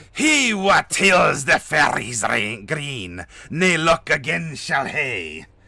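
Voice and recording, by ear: Putting on a raspy character voice with a Scottish accent, a man speaks very slowly at a fairly high pitch. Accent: Scottish, exaggerated.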